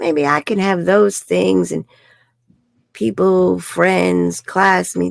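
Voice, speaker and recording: Speech comes at a very slow pace. The speaker has a New York accent. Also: woman. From New York City. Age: 60s. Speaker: life coach. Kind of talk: interview. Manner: animated.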